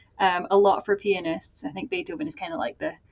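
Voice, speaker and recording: Speaking with a Scottish accent, a woman keeps a fairly quick pace. Her medium-pitched voice moves in very wide pitch swings. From Scotland. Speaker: music scholar, center director. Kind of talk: interview chat. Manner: many fillers, hesitant starts.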